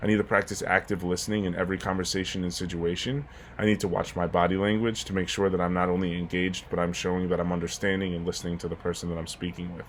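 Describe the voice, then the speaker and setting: A man with a very deep, low pitch talks very fast with hardly any pauses. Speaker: graduate student. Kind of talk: class presentation. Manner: intense, gets loud when excited.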